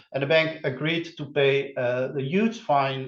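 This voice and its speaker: There is noticeable background noise as a man speaks at a fairly slow pace with ordinary pitch variation. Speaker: criminology researcher presenting. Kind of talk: academic webinar presentation. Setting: online webinar. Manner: halting, many filler sounds.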